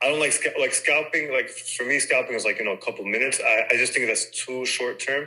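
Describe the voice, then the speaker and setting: A man with a New York accent talking at a very fast pace. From New York City, Queens. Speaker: trader, insurance broker. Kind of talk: casual interview chat.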